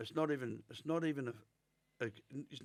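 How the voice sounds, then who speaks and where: An Australian accent marks this man's speech. His intonation is lively. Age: 60s. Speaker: former career criminal. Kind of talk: interview.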